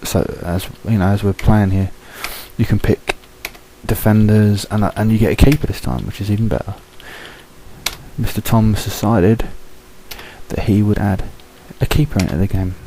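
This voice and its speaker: A quiet man with a British accent and a fairly low pitch, ordinary pitch variation, a moderate pace, long and frequent pauses, and noticeable background noise. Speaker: gaming video commentator. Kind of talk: gameplay commentary. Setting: at home. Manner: speaking low, quiet; hesitant, many fillers.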